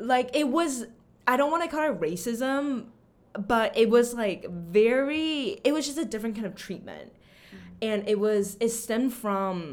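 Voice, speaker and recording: With an American accent, this is a plain, everyday voice. Its intonation is lively and its pace fairly slow. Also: woman. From Austin, Texas (after early childhood in Taiwan). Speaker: language teacher. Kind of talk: interview.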